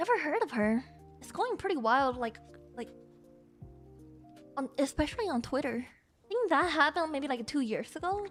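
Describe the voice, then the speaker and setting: With music in the background, a woman speaks at a moderate pace in a high pitch, making very wide pitch swings and taking long, frequent pauses. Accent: non-native. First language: Chinese. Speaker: VTuber streamer. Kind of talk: casual live-stream talk to chat.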